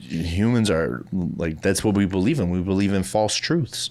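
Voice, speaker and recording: With a Midwestern accent, a man mumbles at a moderate pace in a fairly low pitch, his intonation lively. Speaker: podcast co-host. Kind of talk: casual chat. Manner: mumbling.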